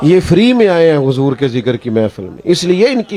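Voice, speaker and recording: A man speaks with a dry, close sound and no echo. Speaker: Islamic preacher. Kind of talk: religious sermon (bayan) at a gathering. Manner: emotional, conversational, anecdotal.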